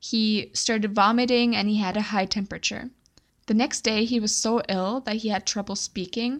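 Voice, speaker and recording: A woman's fairly high, normal speaking voice at a moderate pace, with ordinary pitch variation, on a very clean recording with a silent background. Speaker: true crime podcast host and storyteller. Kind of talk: casual storytelling. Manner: conversational, laughs often.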